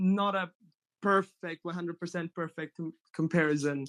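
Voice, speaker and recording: A man with a slight Italian accent and a high pitch, at a moderate pace. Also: very clean recording, silent background. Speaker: mythology enthusiast, panelist. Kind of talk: casual roundtable discussion. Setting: group call.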